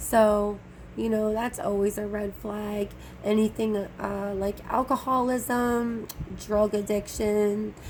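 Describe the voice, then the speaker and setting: A woman speaks very slowly in a fairly high pitch. Her voice is somewhat breathy and her intonation is monotone and flat. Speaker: tarot reader. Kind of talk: casual tarot reading to camera.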